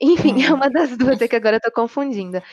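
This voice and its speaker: The sound is dry and close, with no echo. A woman talks with ordinary pitch variation. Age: 20s. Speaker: obstetrics student. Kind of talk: casual discussion.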